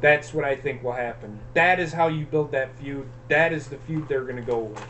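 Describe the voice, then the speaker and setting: Through noticeable background noise, a man with a fairly high pitch talks at a moderate pace with fairly even intonation. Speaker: wrestling show host. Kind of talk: casual chat. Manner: halting, stuttering.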